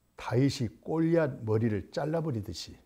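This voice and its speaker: With a dark, mellow tone and a somewhat breathy quality, a man speaks at a fairly slow pace using very wide pitch swings, recorded very cleanly against a silent background. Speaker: pastor. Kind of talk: sermon. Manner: raised, emphatic intonation; animated.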